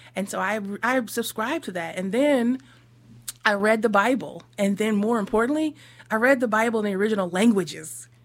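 This woman has an unremarkable speaking voice with an American accent and a fairly high pitch. She talks at a fairly quick pace with ordinary pitch variation. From US Northeast. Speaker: minister. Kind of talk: radio interview.

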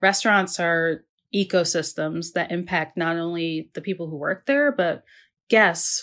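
A woman with an American accent and an ordinary speaking voice talks at a fairly slow pace, fairly low in pitch with fairly even intonation, on a very clean recording with a silent background. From Maryland, US Mid-Atlantic. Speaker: food writer and podcast host. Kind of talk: casual interview conversation.

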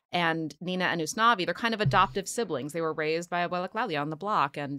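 Speaking at a fairly quick pace, a woman with an American accent has a bright, sharp tone and a fairly low pitch. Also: very clean recording, silent background. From Philadelphia. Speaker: playwright and screenwriter. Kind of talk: casual chat.

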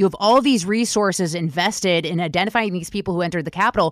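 On a very clean recording with a silent background, the speaker uses lively intonation in an American accent. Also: woman. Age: 30s. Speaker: podcast host. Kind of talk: interview.

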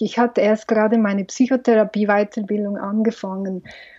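A woman talks in a normal speaking voice at a fairly high pitch. Her intonation stays fairly even. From Switzerland, Valais. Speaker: film director and psychologist. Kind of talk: interview.

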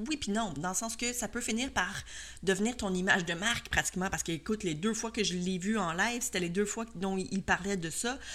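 The delivery has lively intonation at a fairly quick pace, on a very clean recording with a silent background. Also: woman. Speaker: podcast host and cake design instructor. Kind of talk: solo podcast monologue. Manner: hesitant, many fillers.

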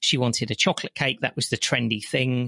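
A man's medium-pitched voice with a West Midlands accent, fairly quick, bright and sharp in tone, dry and close with no echo over a quiet background. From West Midlands, England. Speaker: chocolate entrepreneur and business consultant. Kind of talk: interview conversation.

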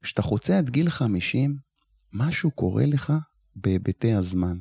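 A man with a fairly low, somewhat breathy voice and a dark, mellow tone speaks at a fairly slow pace with lively intonation. The sound is dry and close with no echo. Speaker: retired security officer and nonprofit founder. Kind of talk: interview conversation.

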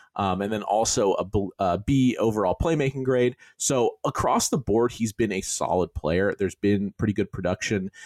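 A man with a normal speaking voice talks at a fairly low pitch with ordinary pitch variation, very even loudness and hardly any pauses, in a very clean recording with a silent background and a dry, close sound with no echo. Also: moderate pace. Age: 30s. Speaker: podcast host. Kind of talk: casual chat.

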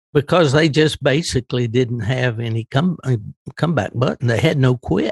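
The sound is dry and close, with no echo. A man of medium pitch speaks somewhat breathily at a moderate pace with ordinary pitch variation. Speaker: veteran hound hunter. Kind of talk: interview. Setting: remote call with headphones.

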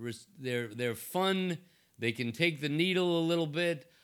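With an American accent and a normal speaking voice, a man talks at a fairly slow pace with ordinary pitch variation in a very clean recording with a silent background. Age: 60s. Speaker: investment banker. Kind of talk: interview conversation. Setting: his office.

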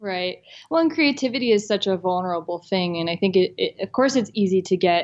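A woman with an American accent uses a normal speaking voice at a medium pitch with ordinary pitch variation. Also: quiet background. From US South. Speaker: responsible travel blogger. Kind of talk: interview.

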